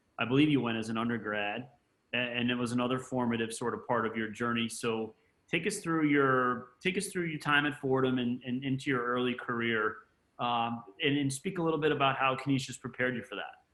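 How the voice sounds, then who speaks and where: A man's unremarkable speaking voice at medium pitch, with ordinary pitch variation and a fairly quick pace. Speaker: school vice president and interviewer. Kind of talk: interview.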